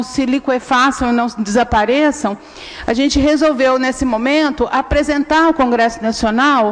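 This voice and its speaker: Noticeable background noise sits behind a woman with a high pitch. She talks at a moderate pace with fairly even intonation. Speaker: researcher at a human rights NGO. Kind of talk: public hearing presentation.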